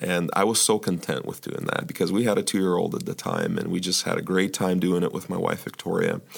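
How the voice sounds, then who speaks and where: Against noticeable background noise, a man speaks at a fairly quick pace with hardly any pauses. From Ukraine, emigrated to US at age twelve. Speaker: church elder. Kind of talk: podcast interview. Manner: halting, many fillers.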